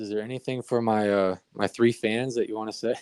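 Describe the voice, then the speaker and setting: At a fairly quick pace, a man speaks with fairly even intonation in a dry, close sound with no echo. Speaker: podcast host. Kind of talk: casual chat. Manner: even keel on playback.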